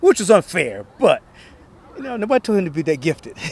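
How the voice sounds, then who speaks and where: A man speaks with very wide pitch swings in a dry recording with no echo. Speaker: guest. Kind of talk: interview answer. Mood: warm, nostalgic, laughing at times. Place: open country. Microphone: handheld.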